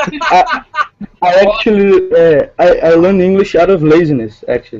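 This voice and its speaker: The pace of this man's speech is moderate. His loudness stays very even throughout. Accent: Portuguese. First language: Portuguese. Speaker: writer. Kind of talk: casual chat. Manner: halting.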